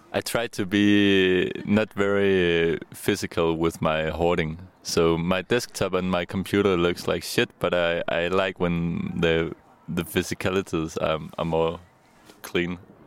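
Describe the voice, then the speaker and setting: With a Danish accent, a man speaks very deep and low at a fairly slow pace, his intonation monotone and flat and his loudness very even. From Denmark. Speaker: electronic musician. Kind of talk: interview. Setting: outdoors. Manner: halting.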